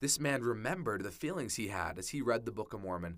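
On a very clean recording with a silent background, a man with an American accent speaks at medium pitch in a bright, sharp tone with very wide pitch swings. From Utah, US. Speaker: podcast host, returned missionary. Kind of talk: personal storytelling.

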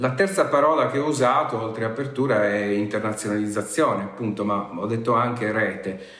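Audible room echo and noticeable background noise surround a man of medium pitch who talks at a fairly quick pace with hardly any pauses and ordinary pitch variation. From Sardinia, near Sassari. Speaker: university professor. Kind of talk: interview. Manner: formal.

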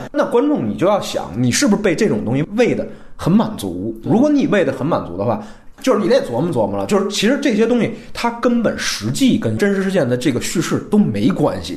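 A man with a high pitch talks at a very fast pace, his pitch swinging very widely. Noticeable background noise and audible room echo fill the recording. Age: young. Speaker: screenwriter, film podcast guest. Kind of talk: casual film review discussion.

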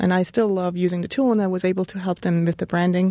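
A woman with a Swiss German accent speaks in a dark, mellow tone at a fairly low pitch. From German-speaking northern Switzerland. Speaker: graphic designer and blogger. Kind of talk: interview conversation. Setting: studio.

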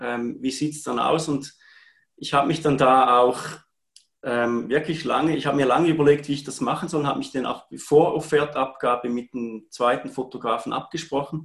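At a moderate pace, a man speaks in a fairly high pitch with a normal speaking voice. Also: fairly even intonation. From Switzerland, Appenzell. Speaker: part-time photographer. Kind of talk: live-streamed interview.

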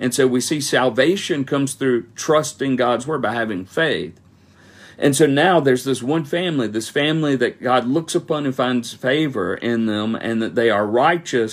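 This man speaks at a moderate pace with a medium pitch and ordinary pitch variation. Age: 40s. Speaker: pastor. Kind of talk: Bible study teaching. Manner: halting.

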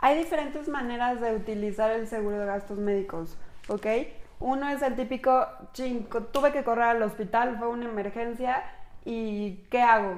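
Audible room echo is heard as a woman talks with a Mexican accent. She keeps a moderate pace with ordinary pitch variation. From Mexico. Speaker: insurance agent and podcast host. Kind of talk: casual explanatory chat.

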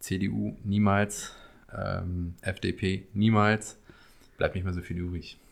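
A man with an East Westphalian accent speaks very slowly in a very deep, low, flat monotone on a very clean recording with a silent background. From Paderborn, East Westphalia. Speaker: podcast guest, friend of host. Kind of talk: casual chat.

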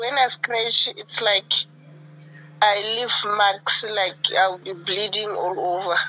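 A woman speaks at a very slow pace with music playing in the background. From Botswana. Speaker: caller. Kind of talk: phone-in testimony. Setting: phone call. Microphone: breaking up phone line.

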